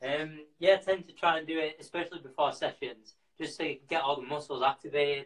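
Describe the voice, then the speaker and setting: Speech in a Yorkshire accent races at a very fast pace with hardly any pauses. Intonation stays fairly even over a quiet background. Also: man, fairly high pitch for a man. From Yorkshire, Bradford. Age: 20s. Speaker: professional distance runner. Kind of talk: live stream Q&A; workout tutorial. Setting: live video stream from home. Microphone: video call.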